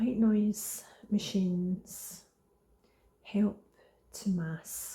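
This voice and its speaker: The voice is soft-spoken and moves at a very slow pace. Long, frequent pauses break up the speech. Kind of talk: ASMR product review. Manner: slow, unhurried, semi soft-spoken.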